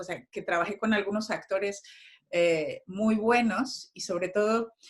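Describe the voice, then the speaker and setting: The speaker is a woman with a medium-pitched voice. She keeps her intonation fairly even. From Mexico. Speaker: actress and playwright. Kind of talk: interview. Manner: halting, many repetitions and fillers.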